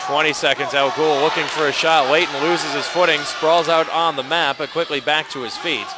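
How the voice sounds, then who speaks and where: Loud background noise plays as a man speaks at a fairly quick pace. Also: hardly any pauses, dry sound with no echo. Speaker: sports commentator. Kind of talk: live wrestling play-by-play commentary. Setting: gym broadcast, online webcast. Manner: energetic but even-toned. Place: hall.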